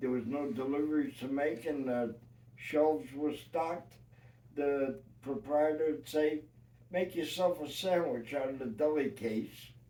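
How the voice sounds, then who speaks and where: Speaking fairly slowly in a New York accent, a man has a fairly high pitch and ordinary pitch variation. His tone is dark and mellow. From New York City. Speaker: retired union carpenter. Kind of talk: life-story interview. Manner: halting.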